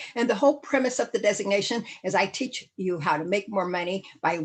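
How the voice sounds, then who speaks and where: With an animated tone, a woman speaks at medium pitch with ordinary pitch variation. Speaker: real estate safety speaker. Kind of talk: webinar presentation. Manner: fast.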